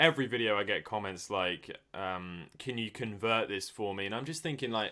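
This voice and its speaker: On a very clean recording with a silent background, a man with a British accent speaks at a moderate pace in a bright, sharp tone. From Britain. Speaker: YouTuber, retro gaming channel host. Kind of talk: casual chat.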